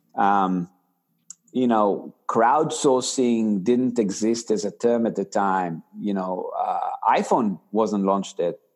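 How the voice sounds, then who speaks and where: Against a quiet background, a man with an Israeli accent speaks at a very slow pace, with a medium pitch and ordinary pitch variation. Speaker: tech company founder and CEO. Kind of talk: interview. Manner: halting.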